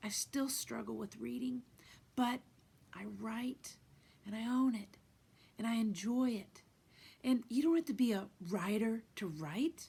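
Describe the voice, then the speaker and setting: Somewhat breathy and dark, mellow in tone, a woman's fairly high voice moves at a fairly slow pace with ordinary pitch variation and long, frequent pauses. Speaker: guitarist, singer-songwriter, life coach. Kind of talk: motivational talk to camera. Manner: reflective, sincere, conversational.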